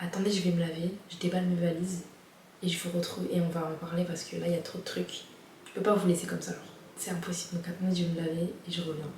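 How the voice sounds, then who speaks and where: A woman's fairly low voice at a very fast pace, with noticeable background noise and audible room echo. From France. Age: 20s. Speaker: vlogger. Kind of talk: casual vlog. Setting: at home, before bed. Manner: animated.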